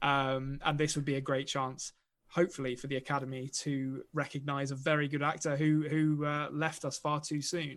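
With an English accent, a man talks at a moderate pace in a fairly high pitch and monotone, flat intonation, recorded very cleanly against a silent background. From England. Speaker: podcast host. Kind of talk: casual chat. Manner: joking.

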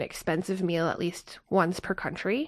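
In a Canadian accent, an ordinary speaking voice moves at a fairly quick pace with fairly even intonation on a very clean recording with a silent background. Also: woman. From Canada. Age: 30s. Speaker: traveler. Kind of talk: casual chat.

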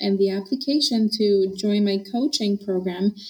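A woman speaks at a fairly slow pace in a somewhat breathy voice of medium pitch. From Honduras. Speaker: dietitian and nutrition professor. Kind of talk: interview chat.

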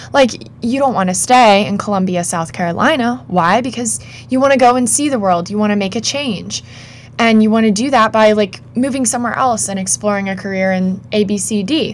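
Lively intonation from a woman over noticeable background noise. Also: fairly high pitch for a woman, moderate pace. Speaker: podcast co-host. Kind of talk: casual chat. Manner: animated.

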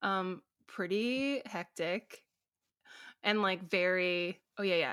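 A plain, everyday voice from a woman of medium pitch, with ordinary pitch variation, on a very clean recording against a silent background. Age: 20s. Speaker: musician. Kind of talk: casual interview.

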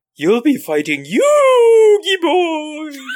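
The voice is high-pitched. It is a put-on character voice. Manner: ghostly.

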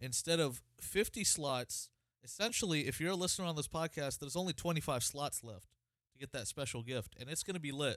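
A man with a plain, everyday voice, fairly high pitch, lively intonation and a moderate pace. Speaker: podcast host. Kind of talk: casual chat.

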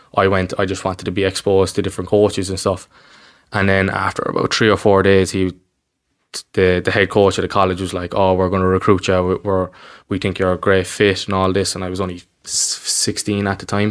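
A man's very deep, low voice in a Cork accent, fairly quick and flat in a monotone. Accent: Cork Irish. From Ireland, Cork north side. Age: 20s. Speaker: basketball coach. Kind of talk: casual interview. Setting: recorded in person.

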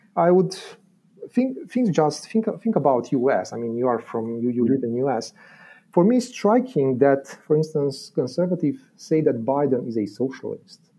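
With a Romanian accent, a man talks at a moderate pace in a fairly high pitch. His intonation is lively. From Romania, Transylvania. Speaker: philosophy lecturer. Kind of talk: academic explanation in interview. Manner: halting, many fillers and repetitions.

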